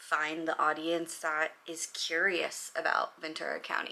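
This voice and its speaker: A woman with a Californian accent, fairly low in pitch, bright, sharp and animated in tone, at a fairly slow pace. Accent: Californian American English. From Los Angeles, US West Coast. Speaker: vlogger and real estate agent. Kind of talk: casual chat vlog.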